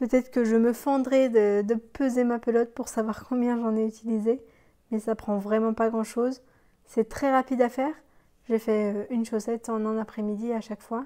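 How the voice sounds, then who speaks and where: The recording is very clean, with a silent background. A woman speaks at a moderate pace, fairly high in pitch, in a monotone, flat way. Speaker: knitting podcaster. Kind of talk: casual chat. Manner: hesitant, many fillers.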